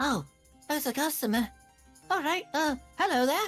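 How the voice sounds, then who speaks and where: With faint music behind it, a high-pitched, put-on character voice speaks at a moderate pace. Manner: friendly, welcoming.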